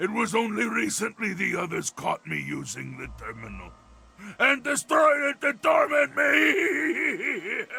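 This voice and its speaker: Putting on a character voice, a man speaks at a fairly slow pace. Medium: video game. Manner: articulate, measured, erudite.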